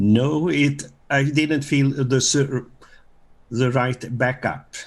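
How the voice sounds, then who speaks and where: Very slowly and in a monotone, flat intonation, a man with a Swedish accent speaks at a fairly high pitch and very even loudness. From Sweden. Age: 70s. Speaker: retiree giving testimonial. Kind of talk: interview. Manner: halting.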